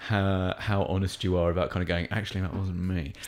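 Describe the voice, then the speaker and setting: Captured in a very clean recording with a silent background, a man with an English accent talks at a fairly quick pace in a very deep, low pitch. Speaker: stand-up comedian. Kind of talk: casual chat. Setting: studio.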